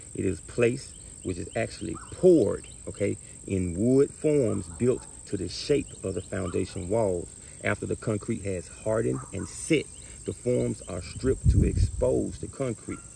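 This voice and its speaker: The sound is dry with no echo and light background noise as a man with a fairly low pitch speaks fairly slowly, his pitch swinging very widely. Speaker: carpentry instructor. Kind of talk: tutorial. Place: garden.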